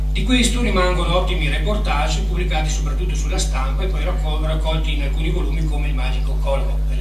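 Over loud background noise and audible room echo, a man speaks very fast with hardly any pauses. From Asiago plateau, Veneto, Italy. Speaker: writer and speaker on Rigoni Stern. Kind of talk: conference lecture. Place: hall.

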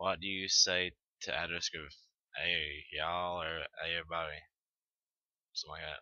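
With a Southern US accent, a man talks at a moderate pace in a very deep, low voice and a monotone, flat intonation. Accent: Southern American. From Tennessee, Southern US. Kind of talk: casual talk to camera. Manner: casual, hesitant.

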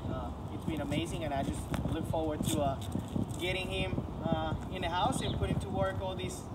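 A man talks at a fairly quick pace with loud noise behind him. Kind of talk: testimonial. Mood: grateful, pleased. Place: street. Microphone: camera far.

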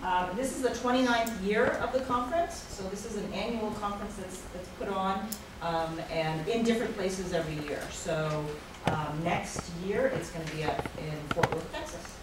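A woman speaks at a moderate pace. There is noticeable background noise and audible room echo. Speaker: presenter. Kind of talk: presentation to audience. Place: classroom. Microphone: camera far.

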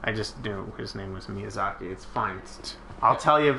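At a moderate pace, a man speaks in an ordinary speaking voice with ordinary pitch variation. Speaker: gaming video co-host. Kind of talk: casual gameplay chat.

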